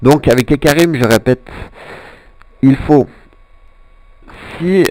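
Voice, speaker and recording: The voice, with a Swiss accent, has a dark, mellow tone and ordinary pitch variation, recorded dry and close with no echo. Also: man. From Switzerland. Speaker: gaming commentator. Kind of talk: gameplay commentary. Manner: halting, many fillers.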